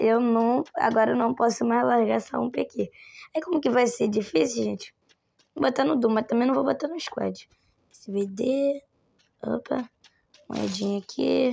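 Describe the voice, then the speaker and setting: A woman speaks at a fairly slow pace. Long pauses come often. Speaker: gaming streamer. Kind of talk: gameplay commentary. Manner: animated.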